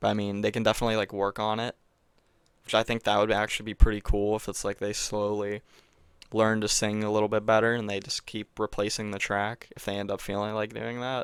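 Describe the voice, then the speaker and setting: A quiet, fairly low-pitched man at a very fast pace, monotone and flat, on a very clean recording with a silent background. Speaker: gaming youtuber. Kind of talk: casual solo commentary. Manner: hesitant, many fillers. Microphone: new mic.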